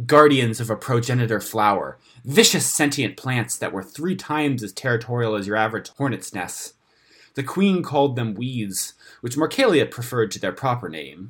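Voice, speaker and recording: A man's medium-pitched, dramatic delivery with lively intonation at a moderate pace, on a very clean recording with a silent background. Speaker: audiobook-style narrator reading a fantasy story. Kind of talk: scripted fantasy story narration, read aloud. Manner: measured, dramatic storytelling pace; formal, vivid, slightly wry tone.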